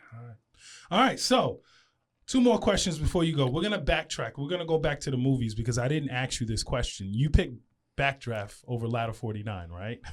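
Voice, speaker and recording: A somewhat breathy man with an American accent at medium pitch, fairly quick pace, lively intonation and big swings in loudness, on a very clean recording with a silent background. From Long Island, New York. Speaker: radio host. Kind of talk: interview.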